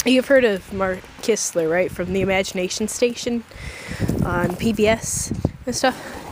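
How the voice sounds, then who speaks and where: A woman at a fairly slow pace, dry sound with no echo, noticeable background noise behind her. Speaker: vlogger. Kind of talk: casual vlog chat. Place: open country. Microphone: phone near.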